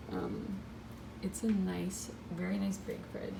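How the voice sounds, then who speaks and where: Whispering quietly at a very slow pace, a woman speaks over noticeable background noise. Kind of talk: casual talk to camera, home fridge tour. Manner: whispered, hushed.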